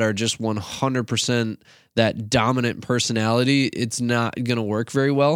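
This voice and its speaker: A man speaks in a normal speaking voice with an American accent, at medium pitch and a moderate pace. His pitch varies in an ordinary way, and the recording is very clean with a silent background. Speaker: youth pastor podcast host. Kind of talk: casual conversational podcast chat.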